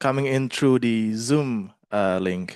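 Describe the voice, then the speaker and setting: Against a quiet background, a man with an Indonesian accent talks at a very slow pace. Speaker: master of ceremonies. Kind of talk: event moderation.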